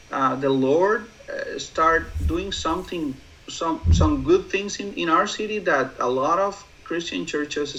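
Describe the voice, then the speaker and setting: The speech unfolds at a fairly slow pace against noticeable background noise. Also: man. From Mexico, Mexicali. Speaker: church planter. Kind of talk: interview. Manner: halting. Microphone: poor audio.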